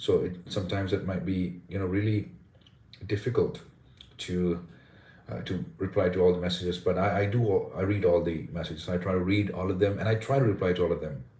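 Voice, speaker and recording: A man with a very deep, low pitch and a dark, mellow tone speaks at a fairly quick pace, somewhat breathy and with fairly even intonation. Audible room echo is present. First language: Indian language. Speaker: English pronunciation coach. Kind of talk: live stream chat. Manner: fast.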